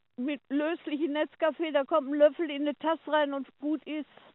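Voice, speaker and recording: A woman speaks in a high voice at a fairly slow pace. Her intonation is monotone and flat. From Ruhr area, Germany (Oberhausen). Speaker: caller. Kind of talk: casual chat. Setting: phone call.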